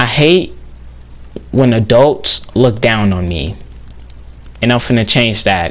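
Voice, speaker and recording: Speaking at a very slow pace with long, frequent pauses, a man with a medium pitch shows vocal fry and lively intonation. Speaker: gaming YouTuber. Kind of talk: casual vlog monologue.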